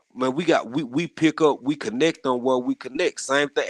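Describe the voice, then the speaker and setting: A man with a Southern US accent at a moderate pace, ordinary pitch variation, and a dry, close sound with no echo. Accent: deep Southern country twang. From rural US South. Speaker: gardening community panelist. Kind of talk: casual chat. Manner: animated, many repetitions and false starts.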